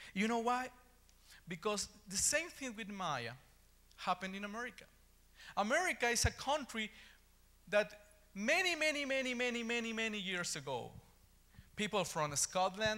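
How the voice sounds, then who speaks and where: Raising and projecting his high voice, a man with an Ecuadorian accent speaks with long, frequent pauses. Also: lively intonation, moderate pace. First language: Spanish. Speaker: preacher. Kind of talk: sermon. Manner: halting.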